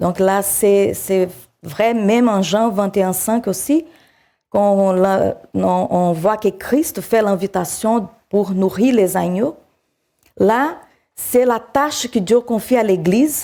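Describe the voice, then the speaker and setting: A woman's dark, mellow voice at medium pitch in a South American accent, very slow and punctuated by long, frequent pauses, with very even loudness and ordinary pitch variation. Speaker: preacher. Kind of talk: sermon. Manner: halting.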